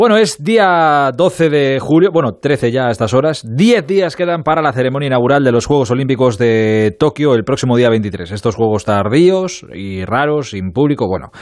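The speech keeps a moderate pace with hardly any pauses. Its pitch swings very widely. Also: man, medium pitch for a man. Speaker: radio sports show host. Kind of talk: late-night radio sports show.

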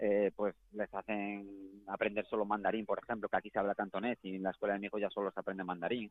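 A man with a Galician accent speaks in a fairly low, monotone voice with flat intonation. He goes very fast, with hardly any pauses. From Galicia, Spain. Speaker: professional footballer. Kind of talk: interview.

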